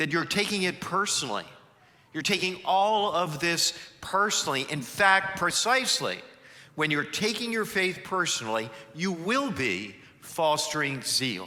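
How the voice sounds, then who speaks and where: A man speaks at a fairly slow pace in a high, bright, sharp voice with lively intonation. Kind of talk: church homily / sermon. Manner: engaging, energetic, conversational.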